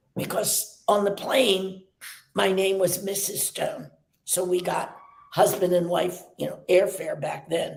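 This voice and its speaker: A woman speaks at a fairly slow pace with audible room echo. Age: 90s. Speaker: dance teacher, studio founder. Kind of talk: interview.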